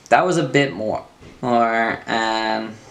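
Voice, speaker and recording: Audible room echo surrounds a man speaking at a fairly slow pace. His pitch is medium, with ordinary variation. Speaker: transgender speaker, traveler. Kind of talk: reading a prepared speech. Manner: pauses while thinking.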